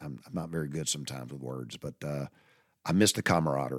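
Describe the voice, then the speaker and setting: A man speaks with a Southern US accent and ordinary pitch variation. The recording is very clean and dry, with a silent background and no echo. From US South. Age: 60s. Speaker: podcast host. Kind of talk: storytelling monologue. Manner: halting.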